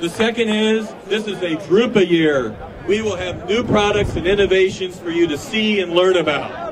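A man's high voice with ordinary pitch variation, a moderate pace and an animated, upbeat tone, over noticeable background noise. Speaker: conference chairman. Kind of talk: rally speech. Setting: live event with audience. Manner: animated, upbeat, crowd-addressing; formal, promotional. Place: street. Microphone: podium.

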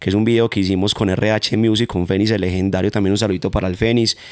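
A man with a paisa accent, fairly low pitch, fairly even intonation and a fairly quick pace, in a dry sound with no echo against a quiet background. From Manizales, Colombia; Colombia. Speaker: urban music artist; guest. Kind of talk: interview. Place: home room. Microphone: handheld.

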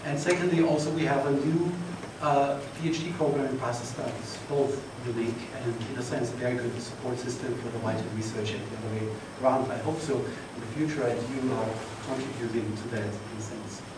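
Amid audible room echo and noticeable background noise, a man speaks at a fairly quick pace. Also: ordinary pitch variation. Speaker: conference host. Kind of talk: opening remarks. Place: hall.

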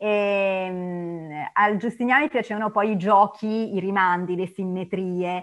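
A woman speaks at a very slow pace with hardly any pauses. Her intonation is fairly even, and the background is quiet. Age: 50s. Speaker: art historian lecturer. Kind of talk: lecture. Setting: video call. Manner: halting, many fillers and repetitions. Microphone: video call.

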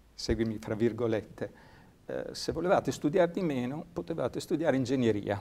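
This man talks at a moderate pace with lively intonation. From Ravenna, Italy. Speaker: sports science researcher and lecturer. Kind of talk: interview. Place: studio. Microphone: lapel.

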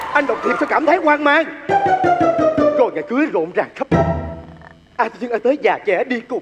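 A man at a moderate pace over loud music in the background. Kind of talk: comic stage acting. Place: stage. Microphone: handheld.

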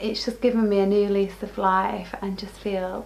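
Here a woman speaks at a moderate pace. Her pitch is medium. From northern England. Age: 40s. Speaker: weight-loss interviewee; interviewee. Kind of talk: personal testimony. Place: home room.

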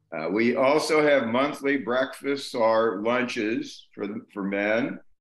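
Audible room echo surrounds a man talking at a very slow pace with ordinary pitch variation. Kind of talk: informal presentation. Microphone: video call.

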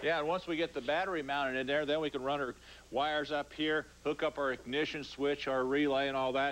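The man's intonation is fairly even. His delivery is very fast. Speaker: TV show co-host. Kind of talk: tutorial. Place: garage.

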